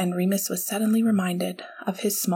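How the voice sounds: The speaker uses a natural reading voice, intonation staying fairly even.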